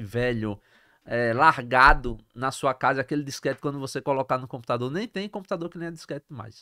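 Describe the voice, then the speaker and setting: At a moderate pace and with ordinary pitch variation, a man talks over a quiet background. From Brazil, Sergipe (interior town, then Aracaju); Sergipe, Brazil. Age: 40s. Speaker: entrepreneur; podcast guest. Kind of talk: interview. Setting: studio. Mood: animated, laughing at times. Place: studio. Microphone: studio mic.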